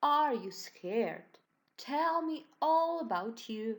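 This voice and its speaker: A woman with a Slovenian accent speaks in very wide pitch swings. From Slovenia, Ilirska Bistrica. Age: 20s. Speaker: primary school teacher. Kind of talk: online lesson for children. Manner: slow, clear and encouraging.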